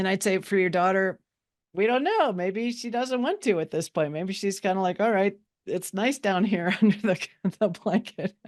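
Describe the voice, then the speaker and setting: This woman has an unremarkable speaking voice, medium in pitch with ordinary pitch variation, moving at a moderate pace against a quiet background. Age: 60s. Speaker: psychologist and money mindset teacher. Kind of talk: webinar discussion. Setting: live webinar.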